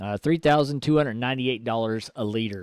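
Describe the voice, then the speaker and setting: At a fairly quick pace with ordinary pitch variation, the voice comes through with a dry, close sound and no echo. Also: man. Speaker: gaming streamer. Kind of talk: live gameplay commentary. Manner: soft-spoken.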